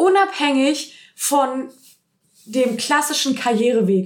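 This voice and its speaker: The voice has an ordinary amount of pitch variation. Its tone comes across as animated. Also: woman. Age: 30s. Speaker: movement and mindset coach, podcast host. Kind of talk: solo podcast monologue.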